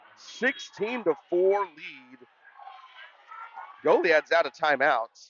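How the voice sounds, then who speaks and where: A loud, high-pitched male voice with lively intonation, a very slow pace and long, frequent pauses. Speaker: play-by-play sports commentator. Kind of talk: live commentary. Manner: animated.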